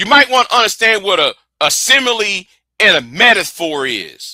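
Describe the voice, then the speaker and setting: A man speaks at a moderate pace in a raised, projected voice with lively intonation. His high-pitched tone is bright and sharp. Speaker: live stream debater. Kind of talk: heated debate. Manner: halting, repeats words.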